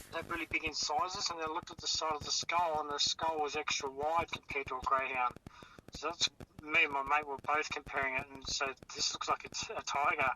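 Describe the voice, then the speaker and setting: With an Australian accent, a man speaks very fast at a fairly high pitch and with fairly even intonation, over noticeable background noise. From Tasmania. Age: 40s. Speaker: eyewitness. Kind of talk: phone interview recounting.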